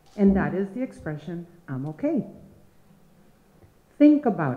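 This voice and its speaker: Over noticeable background noise, a woman's voice shows very wide pitch swings. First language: Spanish. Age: old. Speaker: storyteller. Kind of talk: live storytelling. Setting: stage with audience.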